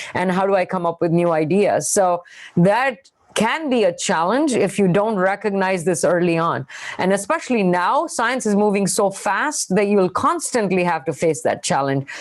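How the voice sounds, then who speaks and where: At a moderate pace, a woman with an Indian accent speaks at a medium pitch with lively intonation and very even loudness. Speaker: scientist. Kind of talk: panel interview.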